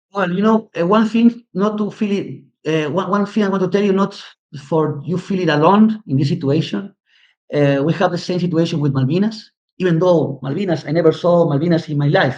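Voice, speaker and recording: Speaking at a fairly quick pace, a man with a Spanish accent uses a high pitch. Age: 60s. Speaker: history teacher and commentator. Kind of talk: interview. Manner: halting, many repetitions and fillers.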